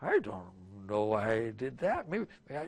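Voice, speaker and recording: Putting on a character voice, a man talks at a fairly slow pace and a medium pitch. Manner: slurred, hesitant.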